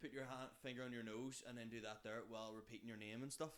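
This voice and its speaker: A man's medium-pitched voice with a Belfast accent, at a very fast pace. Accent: Belfast Northern Irish. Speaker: comedian. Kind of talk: casual chat. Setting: kitchen.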